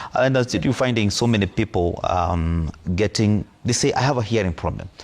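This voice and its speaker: With very even loudness and ordinary pitch variation, a man speaks at a fairly low pitch and a fairly quick pace. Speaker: audiologist. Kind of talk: TV interview.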